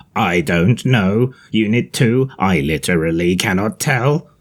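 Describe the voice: At a fairly slow pace, a man puts on a character voice in a fairly low pitch.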